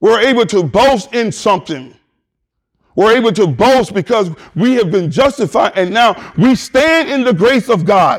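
A high-pitched man in an animated tone, at very even loudness, on a very clean recording with a silent background. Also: lively intonation, moderate pace. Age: 50s. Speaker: pastor. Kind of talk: sermon. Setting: church.

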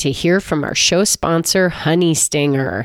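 In a dry, close recording with no echo and a silent background, a woman speaks at a moderate pace with a plain, everyday voice, fairly low pitch and lively intonation. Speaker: podcast host and former triathlete. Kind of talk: casual interview.

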